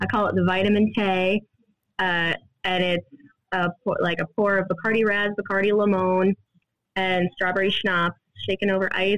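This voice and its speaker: In an American accent, a woman talks at a medium pitch with monotone, flat intonation. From Iowa, Des Moines. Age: 20s. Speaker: bar owner and bartender. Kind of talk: casual interview chat.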